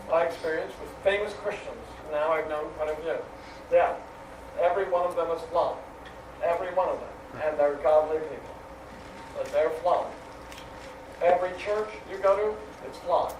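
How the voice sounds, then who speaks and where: A high-pitched man speaks at a moderate pace with long, frequent pauses, big swings in loudness and fairly even intonation. Noticeable background noise and audible room echo fill the recording. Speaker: seminary professor. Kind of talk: lecture. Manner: halting.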